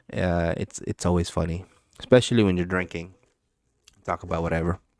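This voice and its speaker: A man with an American accent, dry and close with no echo, on a very clean recording with a silent background. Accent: American English with Filipino background. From Philippines. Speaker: crypto livestreamer. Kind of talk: casual livestream chat. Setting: live stream. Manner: casual, filler-heavy.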